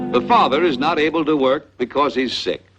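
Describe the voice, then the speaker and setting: A man is speaking. His voice has vocal fry. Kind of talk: educational film narration.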